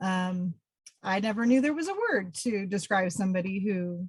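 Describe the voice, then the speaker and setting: At a moderate pace, a woman talks in an unremarkable speaking voice with a medium pitch. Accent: American. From Pennsylvania. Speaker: environmental educator. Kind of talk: webinar presentation. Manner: many filler ums.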